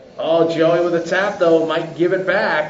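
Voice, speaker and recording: The voice is loud and comes at a fairly slow pace, with noticeable background noise and audible room echo. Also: man. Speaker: race announcer. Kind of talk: live commentary. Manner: animated.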